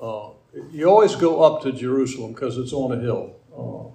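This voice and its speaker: Man's medium-pitched voice with lively intonation at a moderate pace. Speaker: Bible teacher. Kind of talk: slide-led Bible lecture, guiding the audience along a map like a tour guide. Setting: lecture room with projector slides and live audience. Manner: conversational, digressive, pausing and halting, stumbling over words, gently humorous.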